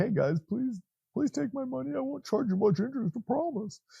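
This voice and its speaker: A man puts on a character voice. It is pitched high and moves at a fairly quick pace. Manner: silly, pleading.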